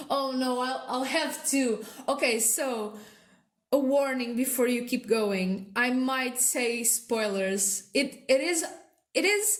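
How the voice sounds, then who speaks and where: A woman's high-pitched voice with lively intonation at a very slow pace. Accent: non-native. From non-English-speaking country. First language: not English. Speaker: artist, video creator. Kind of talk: casual narration over speedpaint. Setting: at home. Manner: halting, many fillers.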